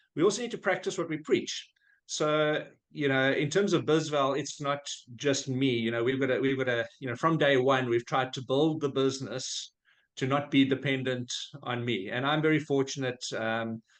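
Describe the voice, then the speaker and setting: A man in a South African accent, fairly high-pitched, at a moderate pace. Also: ordinary pitch variation. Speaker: business founder. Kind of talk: podcast interview. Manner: conversational with frequent fillers.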